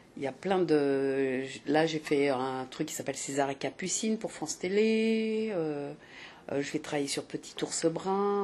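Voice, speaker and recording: A woman speaks in a very deep, low voice. Light background noise can be heard. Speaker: voice actress guest. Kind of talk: interview answer. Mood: cheerful, pleased. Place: hall. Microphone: handheld.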